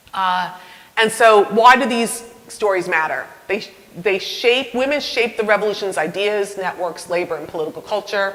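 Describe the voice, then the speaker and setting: A woman with a slight New York accent and medium pitch speaks at a moderate pace with ordinary pitch variation, amid audible room echo and noticeable background noise. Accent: slight Northern (New York). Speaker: university professor of history. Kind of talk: public lecture; audience Q&A. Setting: talk with live audience, mic. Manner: conversational, with hesitations and restarts.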